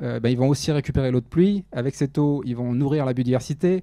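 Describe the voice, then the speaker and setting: Fairly quick male speech, fairly high in pitch, ordinary pitch variation throughout. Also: quiet background. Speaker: research biologist, conference speaker. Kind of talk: lecture. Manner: fast.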